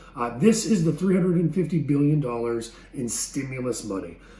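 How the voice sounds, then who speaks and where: A man's fairly high voice comes through over noticeable background noise. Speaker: chamber of commerce executive director. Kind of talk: informational business update to camera. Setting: home office. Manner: fast.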